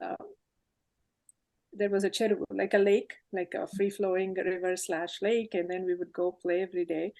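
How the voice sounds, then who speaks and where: A dark, mellow woman's voice at medium pitch, moderate in pace, with fairly even intonation. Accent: Telugu. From India, Hyderabad. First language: Telugu. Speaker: tech leader. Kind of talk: interview, life story.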